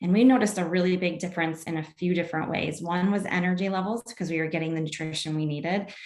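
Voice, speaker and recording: Over noticeable background noise, a woman with a fairly low pitch talks very fast with hardly any pauses. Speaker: wellness product seller and class teacher. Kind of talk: online presentation with product pitch.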